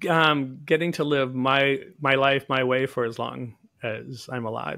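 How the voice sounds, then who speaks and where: A man with a normal speaking voice talks in an American accent at a medium pitch, a fairly slow pace, and with fairly even intonation. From US Northeast, Boston area. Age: 60s. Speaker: naturopathic physician. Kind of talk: interview.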